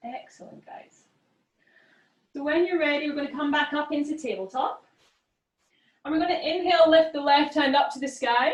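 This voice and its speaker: A woman with a Scottish accent speaks at a high pitch with ordinary pitch variation. Her tone is calm and her pace moderate. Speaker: yoga teacher. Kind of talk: guided yoga class instruction. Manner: calm, encouraging.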